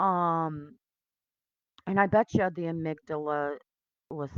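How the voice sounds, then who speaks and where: Mumbled speech with ordinary pitch variation, dry and close with no echo. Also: woman. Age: 50s. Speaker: video blogger. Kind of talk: personal testimony. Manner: mumbling; halting.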